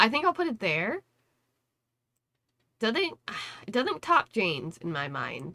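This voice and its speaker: A woman's fairly high, bright, sharp voice with vocal fry, very wide pitch swings and a fairly slow pace. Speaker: gaming content creator. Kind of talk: casual commentary. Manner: casual, filler-heavy.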